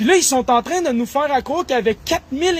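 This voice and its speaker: Lively intonation marks this man's speech. His tone is animated. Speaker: political commentator. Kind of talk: political monologue.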